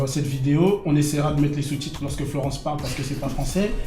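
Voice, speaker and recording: With music in the background and audible room echo, a man talks very fast in a fairly high voice with fairly even intonation. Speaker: web show co-host reviewing TV series. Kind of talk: casual review chat. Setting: studio.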